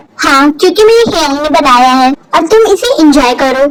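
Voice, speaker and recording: Using a put-on character voice, a woman speaks at a high pitch. Her intonation is lively and her pace moderate. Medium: read story.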